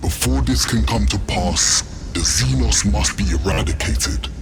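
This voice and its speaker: A man talks in a put-on character voice at a moderate pace. Loud background noise surrounds him. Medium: short film. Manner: commanding, grandiose.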